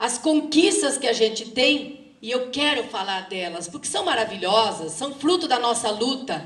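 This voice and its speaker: Very wide pitch swings run through speech delivered at a fairly slow pace. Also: woman. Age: 60s. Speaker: teacher and activist speaker. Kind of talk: lecture. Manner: halting.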